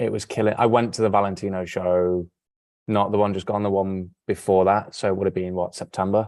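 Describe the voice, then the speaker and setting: A man talks with an English accent at a fairly low pitch. His pace is fairly quick, and the background is quiet. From England. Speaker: model and sustainable fashion advocate. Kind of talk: casual interview chat. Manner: animated.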